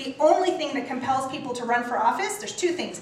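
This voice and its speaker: A woman speaks at a high pitch. Noticeable background noise and audible room echo surround her voice. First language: not English. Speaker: local politician and candidate for county office. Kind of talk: campaign speech at a community meeting. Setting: town council meeting with audience.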